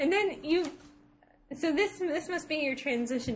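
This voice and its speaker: The intonation is lively. There is a slight Ohio accent. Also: woman. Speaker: podcast co-host, video game talk. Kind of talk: casual banter.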